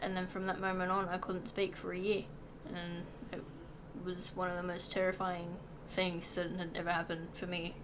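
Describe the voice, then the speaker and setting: A woman speaks at medium pitch and a moderate pace in a monotone, flat delivery. Room echo is audible. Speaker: vlogger. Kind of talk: casual chat. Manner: hesitant, many fillers.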